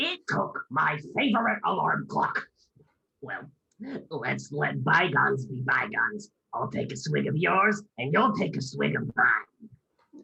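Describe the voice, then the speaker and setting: This raspy, put-on character voice moves at a fairly slow pace. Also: man. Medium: stage play. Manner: sly, wheedling.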